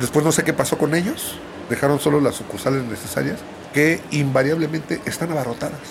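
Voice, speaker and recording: A man in a Mexico City accent, fairly high-pitched and fairly quick, with fairly even intonation and noticeable background noise. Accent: Mexico City Spanish (chilango). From Mexico City, grew up in Ciudad Neza. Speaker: podcast storyteller. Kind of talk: personal storytelling monologue. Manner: casual, conversational.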